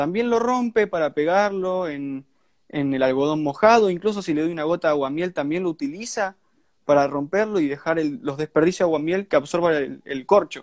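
The man's voice is high for a man, his intonation lively, in a dry, close sound with no echo. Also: moderate pace. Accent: Argentine. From Argentina, Santa Fe. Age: young. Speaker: ant keeper. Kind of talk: casual chat.

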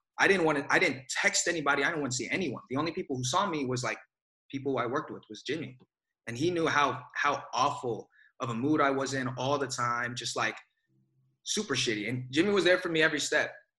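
In an American accent, the speaker talks at a very fast pace with a bright, sharp tone and ordinary pitch variation. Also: man, fairly high pitch for a man. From Bay Area, California. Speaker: actor. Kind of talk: casual interview.

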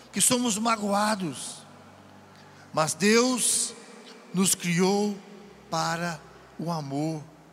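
A man at a very slow pace with ordinary pitch variation, audible room echo and noticeable background noise. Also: long, frequent pauses. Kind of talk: sermon at a retreat. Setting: event with audience. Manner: animated.

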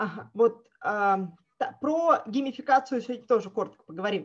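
A woman talks at a fairly slow pace. Her fairly high voice has lively intonation. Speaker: project manager and trainer. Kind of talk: webinar presentation. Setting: online webinar with screen sharing. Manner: hesitant, with filler sounds.

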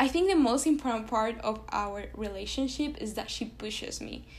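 In a Spanish accent, a woman with a fairly high pitch and vocal fry speaks at a moderate pace, with audible room echo. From Venezuela. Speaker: pre-med student. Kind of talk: casual interview.

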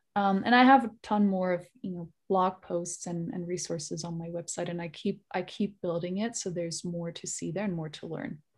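On a very clean recording with a silent background, a woman with a German accent talks at a fairly low pitch, somewhat breathy, with big swings in loudness and hardly any pauses. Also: ordinary pitch variation, moderate pace. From Germany, Bavaria. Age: 30s. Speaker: digital wellness consultant and researcher. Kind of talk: interview.

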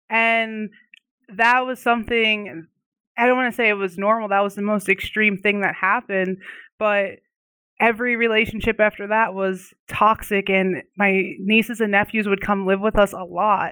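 Here is a woman with an ordinary speaking voice. Her intonation is fairly even and her pace moderate. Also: medium pitch for a woman. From Pennsylvania, near the Mason-Dixon line. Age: 20s. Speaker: life coach. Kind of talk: podcast interview.

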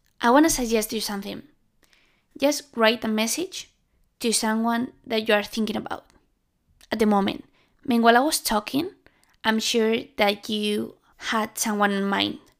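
On a very clean recording with a silent background, a woman with a fairly high pitch and ordinary pitch variation speaks at a moderate pace, leaving long, frequent pauses. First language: Spanish. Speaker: podcast host. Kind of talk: solo monologue podcast. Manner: halting.

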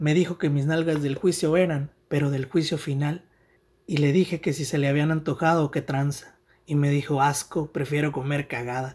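A man's fairly high, somewhat breathy voice at a moderate pace, with fairly even intonation, on a very clean recording with a silent background. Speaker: writer. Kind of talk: reading aloud.

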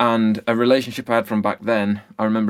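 At a very fast pace, a man with an English accent speaks in a monotone, flat intonation at a fairly low pitch. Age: 30s. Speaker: music producer. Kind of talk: casual interview chat.

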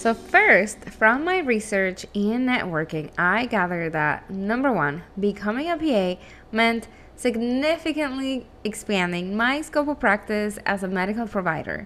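A woman with a Spanish accent speaks at a fairly slow pace and fairly high pitch, her bright, sharp tone making very wide pitch swings. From Venezuela, Caracas. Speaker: physician assistant, podcast host. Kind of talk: solo podcast monologue.

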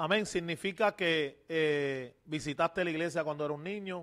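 This man speaks in a fairly high pitch. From Puerto Rico, Loíza. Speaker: pastor and podcast host. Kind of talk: religious interview. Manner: halting, many fillers.

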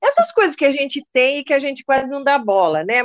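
The sound is dry and close with no echo as a woman with a high voice speaks at a moderate pace with lively intonation. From Brazil, São Paulo coast (caiçara). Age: 60s. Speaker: retired poet and photographer. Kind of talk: interview. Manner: talkative.

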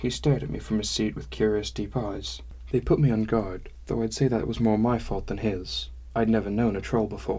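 Reading aloud in a natural voice is what this clip contains.

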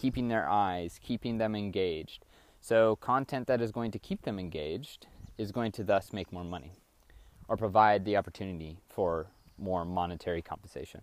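In a very clean recording with a silent background, a man speaks at a moderate pace in a fairly low voice with ordinary pitch variation. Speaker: solo podcaster, data science mentee. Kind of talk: solo monologue podcast. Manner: rambling, halting with fillers.

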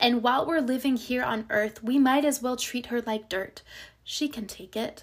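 Her tone warm and her pitch fairly high, a woman speaks with ordinary pitch variation. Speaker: podcast host and poet. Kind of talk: poem performance, spoken word reading of own poem. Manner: expressive, rhythmic, impassioned delivery; warm, intimate, reassuring.

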